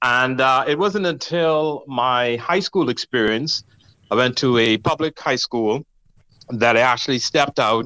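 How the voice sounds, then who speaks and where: Speaking at a moderate pace with a Bahamian accent, a man uses a medium pitch, ordinary pitch variation and a bright, sharp tone. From Bahamas (Nassau). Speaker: gospel music producer and awards founder. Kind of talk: interview.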